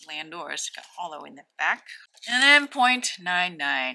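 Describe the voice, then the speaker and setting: Speaking very slowly, a woman with a fairly low pitch swings her pitch very widely. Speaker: Pokemon card opening YouTuber. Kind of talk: pack opening commentary. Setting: at home at night. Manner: soft-spoken.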